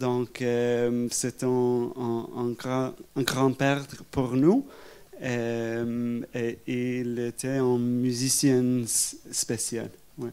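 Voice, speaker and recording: A man with an English accent speaks at a very slow pace. His medium-pitched voice has a dark, mellow tone and a monotone, flat delivery. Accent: English-speaking accent in French. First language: English (speaking French). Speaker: historian. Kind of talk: public talk interview. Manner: halting.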